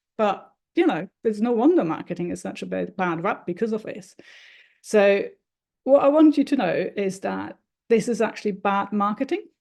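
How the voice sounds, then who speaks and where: With a German accent, the speaker uses lively intonation and vocal fry against a quiet background. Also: woman, medium pitch for a woman, moderate pace. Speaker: marketing consultant. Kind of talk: talking-head explainer video.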